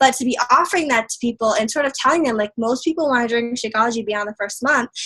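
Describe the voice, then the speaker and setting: At a very fast pace, a woman talks in a high pitch with ordinary pitch variation. The audio is dry and close, without echo. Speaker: fitness business coach. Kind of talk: coaching talk on video call. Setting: video call.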